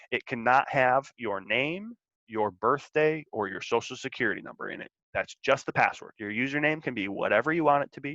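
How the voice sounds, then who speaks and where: A man talks at a fairly quick pace in a fairly high voice with a bright, sharp tone. The sound is dry and close with no echo, his loudness swings widely, and the background is quiet. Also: ordinary pitch variation. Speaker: school college and career counselor. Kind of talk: tutorial. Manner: fast; casual with filler words.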